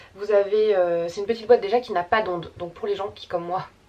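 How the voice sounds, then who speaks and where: Her intonation is lively throughout. The woman's voice rests at a medium pitch. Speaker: YouTuber. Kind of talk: casual vlog. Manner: fast; filler-heavy, many euh.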